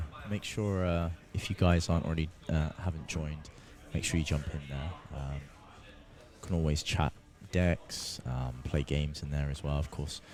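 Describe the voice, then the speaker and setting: This soft-spoken man has a very deep, low voice, talks at a moderate pace with fairly even intonation, and leaves long, frequent pauses. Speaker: tournament commentator. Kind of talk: live commentary. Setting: tournament venue near players.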